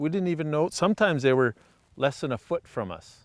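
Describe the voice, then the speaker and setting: A normal speaking voice with ordinary pitch variation comes through dry and close with no echo, on a very clean recording with a silent background. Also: man. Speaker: fishing show host. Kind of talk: outdoor show commentary.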